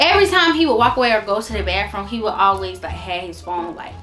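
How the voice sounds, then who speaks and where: Music plays in the background as the woman talks at a fairly quick pace. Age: 20s. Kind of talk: casual storytime talk to camera.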